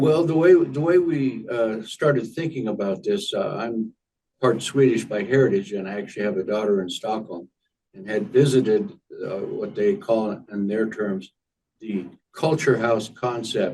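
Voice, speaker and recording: A man speaks at a moderate pace with lively intonation. His voice is medium in pitch, with a dark, mellow tone. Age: 80s+. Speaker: retired library foundation founder. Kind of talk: interview. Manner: halting, many fillers.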